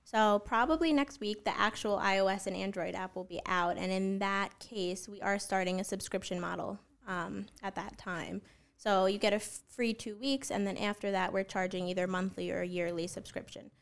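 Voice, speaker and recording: A woman has an unremarkable speaking voice, medium in pitch with ordinary pitch variation. She speaks at a moderate pace on a very clean recording with a silent background. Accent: American. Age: 20s. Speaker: app founder. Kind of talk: podcast interview.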